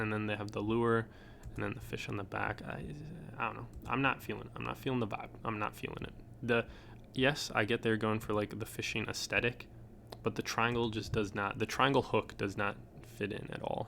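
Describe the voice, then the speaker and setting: With an American accent, a man speaks at a fairly low pitch and moderate pace, with vocal fry, a bright, sharp tone and fairly even intonation. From Upper Peninsula of Michigan. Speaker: streetwear reviewer. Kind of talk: casual product review. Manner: casual, hesitant fillers.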